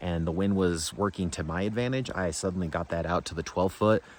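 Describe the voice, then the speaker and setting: The man's voice sits at a very deep, low pitch. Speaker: fishing youtuber. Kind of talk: casual outdoor vlog. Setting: outdoors. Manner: animated.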